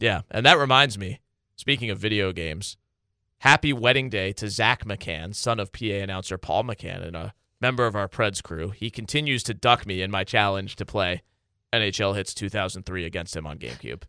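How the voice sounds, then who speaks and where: Fairly quick and fairly low-pitched, a man speaks in a bright, sharp tone with ordinary pitch variation, in a very clean recording with a silent background and a dry, close sound with no echo. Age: 20s. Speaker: radio broadcaster and podcast co-host. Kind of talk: casual chat. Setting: studio.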